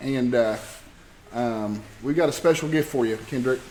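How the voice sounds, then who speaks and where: An American accent from a man at a fairly slow pace, with audible room echo. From Oklahoma. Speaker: archery club president. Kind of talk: banquet speech. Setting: banquet hall with audience. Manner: halting, many fillers and restarts.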